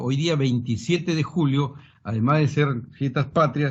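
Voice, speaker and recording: Somewhat breathy and fairly high in pitch, a man speaks with fairly even intonation. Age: 60s. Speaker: supreme court judge. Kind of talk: formal presentation to a congressional committee. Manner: formal.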